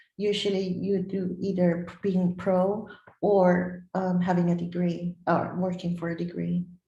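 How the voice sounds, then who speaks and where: Amid audible room echo, a woman with a non-native accent speaks at a fairly slow pace with a fairly low pitch and monotone, flat intonation. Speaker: bodybuilder and former track athlete. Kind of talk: interview. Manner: halting.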